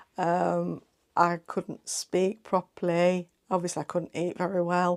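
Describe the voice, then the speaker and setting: A woman with an English Midlands accent, medium in pitch, dark and mellow in tone, at a fairly slow pace. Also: very clean recording, silent background. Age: 50s. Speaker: sewing vlogger. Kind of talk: casual chat. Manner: chatty, hesitant with fillers.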